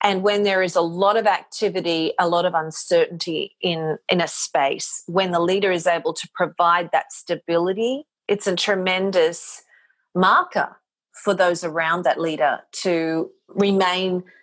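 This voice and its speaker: A woman at a fairly low pitch, with a fairly slow pace and fairly even intonation. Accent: Australian. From Australia. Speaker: motivational speaker and voice talent. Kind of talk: podcast interview answer.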